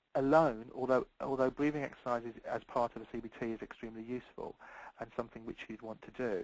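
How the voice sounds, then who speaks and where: Very fast speech comes from a man whose intonation stays fairly even. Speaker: clinical specialist presenter. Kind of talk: presentation.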